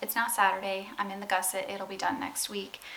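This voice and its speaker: Noticeable background noise surrounds the speaker. She is a woman with a medium pitch. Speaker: vlogger. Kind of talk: casual vlog talk.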